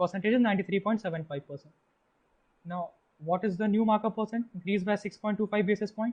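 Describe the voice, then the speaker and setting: With an Indian accent, a man speaks in a high voice at a very fast pace. Long pauses come often. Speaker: test-prep tutor. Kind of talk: tutorial.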